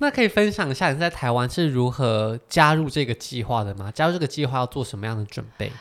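A man talks at a very fast pace with hardly any pauses and lively intonation. His pitch is medium, and the recording is very clean, with a silent background. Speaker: podcast host. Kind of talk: casual interview chat.

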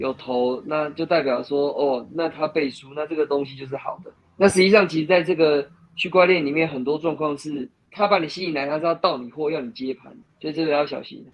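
The man uses a normal speaking voice at a fairly high pitch and a fairly quick pace. His intonation stays fairly even, but his loudness swings widely. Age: 30s. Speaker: stock investor and blogger. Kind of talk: casual chat.

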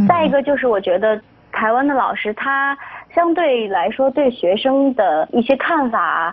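Over noticeable background noise, a woman talks at a fairly slow pace with a high pitch and very wide pitch swings. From Shaanxi, northwest China. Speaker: broadcasting student. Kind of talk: interview.

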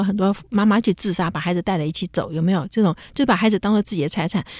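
Speaking at a very fast pace, a woman with a medium pitch and ordinary pitch variation comes through in a dry, close recording with no echo. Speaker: radio host; professor. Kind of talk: casual chat.

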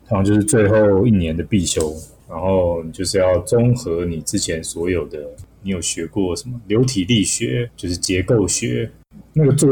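The voice has a dark, mellow tone and is somewhat breathy. It moves at a moderate pace. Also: man, fairly low pitch for a man, lively intonation. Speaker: aviation graduate and pilot, part-time instructor. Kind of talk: casual interview chat.

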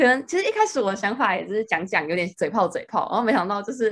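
Talking at a very fast pace, a woman keeps to a medium pitch. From Taiwan. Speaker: student. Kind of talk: casual chat.

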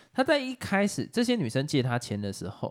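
A man with a Taiwanese accent talks at a moderate pace. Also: dry, close sound with no echo. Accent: Taiwanese Mandarin. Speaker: podcast co-host. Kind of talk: casual chat.

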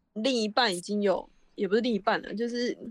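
A woman's medium-pitched voice moves at a moderate pace and shows ordinary pitch variation. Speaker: podcast co-host. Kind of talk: casual chat; product endorsement. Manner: sleepy-sounding.

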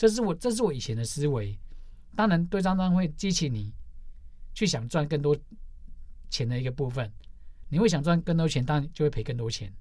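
A somewhat breathy, fairly high male voice with very wide pitch swings and long, frequent pauses. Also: fairly quick pace. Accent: Taiwanese. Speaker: stock day-trading forum moderator. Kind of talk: casual interview. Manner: animated.

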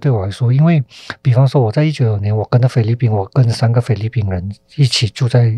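Dry and close with no echo, a man's somewhat breathy, dark, mellow voice sits at medium pitch and moves at a fairly quick pace. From Malaysia. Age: 40s. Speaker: film director. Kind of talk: interview.

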